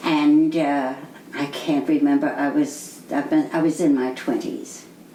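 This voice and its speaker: Fairly slow speech from a woman, with noticeable background noise and audible room echo. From New York City. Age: 80s+. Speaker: interviewee. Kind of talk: oral history interview. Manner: halting.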